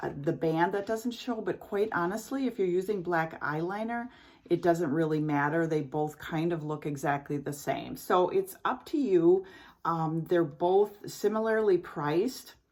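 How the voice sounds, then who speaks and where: In a very clean recording with a silent background, a woman with an unremarkable speaking voice talks at a fairly slow pace in a fairly low pitch, her intonation lively. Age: 60s. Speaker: beauty vlogger. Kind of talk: product review tutorial. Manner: casual, chatty with fillers.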